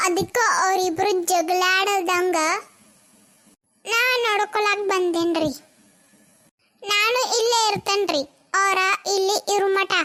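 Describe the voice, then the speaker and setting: A woman's cartoonish character voice, extremely high in pitch, with fairly even intonation and a very slow pace. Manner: mocking, loud, bossy.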